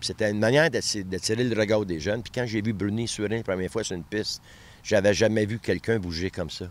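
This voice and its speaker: A very fast pace with ordinary pitch variation, on a very clean recording with a silent background. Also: man, fairly low pitch for a man. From Quebec, Montreal. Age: 70s. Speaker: athletics coach and municipal candidate. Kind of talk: interview. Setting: outdoors in a park.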